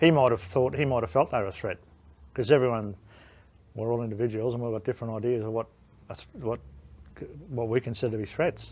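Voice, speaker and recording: With an Australian accent, a man talks at a very fast pace, his pitch varying in an ordinary way, broken by long, frequent pauses. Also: medium pitch for a man. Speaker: war veteran. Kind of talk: interview answer.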